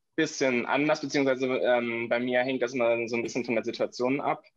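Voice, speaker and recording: At a fairly quick pace, a man with an unremarkable speaking voice talks at medium pitch. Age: 20s. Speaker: podcast guest, cochlear implant user. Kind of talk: casual interview conversation.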